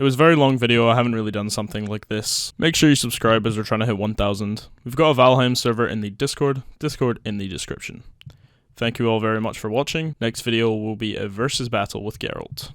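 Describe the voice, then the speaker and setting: A man with a Scottish accent talks at a very fast pace and a medium pitch, with fairly even intonation. The recording is very clean, with a silent background. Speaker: gaming YouTuber. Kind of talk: video game review commentary. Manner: casual.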